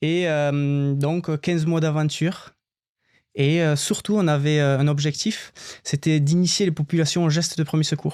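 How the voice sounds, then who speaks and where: At a fairly slow pace, a man with a fairly high pitch speaks in a monotone, flat intonation with very even loudness, on a very clean recording with a silent background. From southern France, Albi (Tarn). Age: 30s. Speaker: former marine firefighter, cycling traveller. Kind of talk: podcast interview. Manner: hesitant, many fillers.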